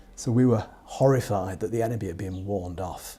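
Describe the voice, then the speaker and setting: Someone with a British accent talks at a fairly quick pace with ordinary pitch variation while music plays in the background. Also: man. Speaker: war veteran. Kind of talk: interview answer.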